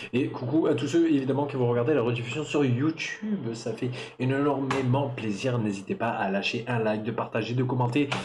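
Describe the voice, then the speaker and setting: Audible room echo and noticeable background noise surround a man's voice. He speaks at a moderate pace and medium pitch with ordinary pitch variation. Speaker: streamer opening trading card packs. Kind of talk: live stream casual chat. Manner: loud; hesitant, many fillers.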